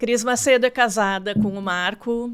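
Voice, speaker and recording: A woman speaks in a normal speaking voice at a moderate pace with ordinary pitch variation. The recording is very clean with a silent background. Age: 60s. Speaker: marketing consultant. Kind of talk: interview.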